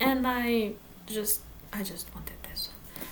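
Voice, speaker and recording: Amid audible room echo, a woman with a Portuguese accent speaks at a fairly slow pace and a fairly high pitch. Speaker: book vlogger. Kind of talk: casual vlog talk. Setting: home in front of bookshelves. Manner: halting.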